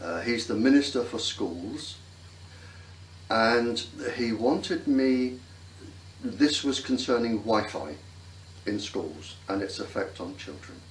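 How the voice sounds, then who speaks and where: With an English accent, a man at medium pitch talks very slowly with long, frequent pauses, amid audible room echo and noticeable background noise. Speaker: former navy scientist. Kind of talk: interview.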